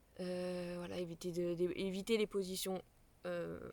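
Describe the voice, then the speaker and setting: Her pitch sits at a medium level for a woman. She speaks with monotone, flat intonation. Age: 20s. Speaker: parenting vlogger. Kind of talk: casual explainer vlog. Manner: halting, many fillers.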